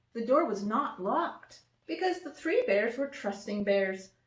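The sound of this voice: An unforced reading voice is heard. That is the whole of it.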